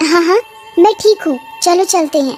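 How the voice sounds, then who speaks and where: Faint music plays behind a woman doing a put-on character voice at an extremely high pitch and a moderate pace. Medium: audio drama. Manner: menacing, mocking.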